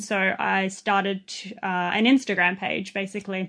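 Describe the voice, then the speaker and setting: In an Australian accent, a woman speaks at a medium pitch against a quiet background. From Australia, southwest Sydney. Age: 20s. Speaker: vintage clothing seller. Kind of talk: podcast interview.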